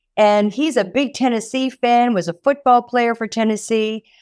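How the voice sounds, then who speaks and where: A woman's fairly high-pitched voice at a moderate pace, dry and close with no echo, on a very clean recording with a silent background. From French Canada. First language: French. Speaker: nonprofit executive director. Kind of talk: interview.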